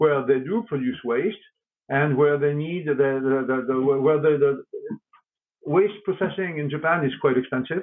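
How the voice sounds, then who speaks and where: Speaking with a French accent, a man talks in a fairly high pitch. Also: ordinary pitch variation, moderate pace. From France. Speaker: company executive. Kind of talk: interview. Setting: podcast. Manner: halting, many repeated words.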